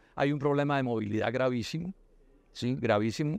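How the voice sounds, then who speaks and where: Talking very fast with ordinary pitch variation, a man is heard in a dry sound with no echo. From Colombia. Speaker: politician; candidate. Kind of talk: interview. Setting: university cloister. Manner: halting with repetitions.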